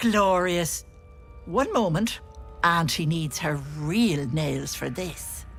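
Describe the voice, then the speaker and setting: A put-on character voice moves at a very slow pace with long, frequent pauses. Music is clearly heard in the background. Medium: video game. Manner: folksy, sly.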